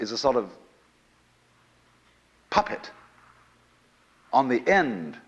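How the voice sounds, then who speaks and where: A man speaks with vocal fry. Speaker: lecturer. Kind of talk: lecture to a live audience. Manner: soothing.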